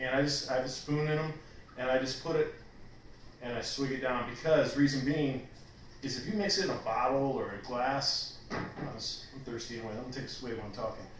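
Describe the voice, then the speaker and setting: A man with an American accent, long and frequent pauses, light background noise and audible room echo. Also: medium pitch for a man, ordinary pitch variation, fairly quick pace. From Texas. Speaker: vlogger. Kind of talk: casual chat. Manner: halting. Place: home room. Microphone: camera far.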